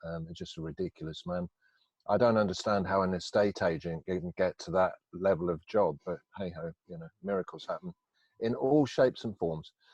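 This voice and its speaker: With a very deep, low pitch and ordinary pitch variation, a man talks at a fairly quick pace with big swings in loudness. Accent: English Midlands. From England, Northampton. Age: 50s. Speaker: recovering addict telling life story. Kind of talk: interview. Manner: hesitant, many fillers.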